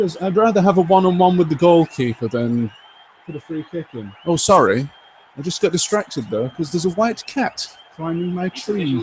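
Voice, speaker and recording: A man with a high pitch and lively intonation talks at a moderate pace while noticeable background noise carries on. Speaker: gaming streamer. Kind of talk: live gameplay commentary. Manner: animated; loud. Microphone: old game microphone, poor stereo mix audio.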